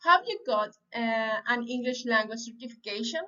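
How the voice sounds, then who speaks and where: A high-pitched woman with a Spanish accent speaks with lively intonation. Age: 30s. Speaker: language student. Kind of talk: reading aloud. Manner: halting.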